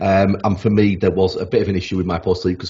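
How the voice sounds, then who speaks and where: Somewhat breathy, a man talks at a very fast pace with a South Yorkshire accent. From South Yorkshire (Rotherham). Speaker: sleep expert. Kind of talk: podcast interview. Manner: halting, many repetitions.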